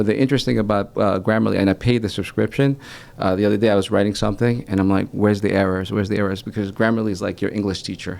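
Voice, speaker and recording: A man speaks very fast with a Spanish accent. His pitch is fairly low and his intonation fairly even. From United States, moved from El Salvador at age four. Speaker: branding and marketing consultant. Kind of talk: casual chat. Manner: halting, with frequent restarts.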